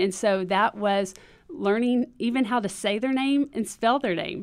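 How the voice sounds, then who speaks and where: On a very clean recording with a silent background, a woman with an American accent uses a normal speaking voice at a moderate pace with ordinary pitch variation. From Texas. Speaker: children's ministry trainer. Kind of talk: podcast interview.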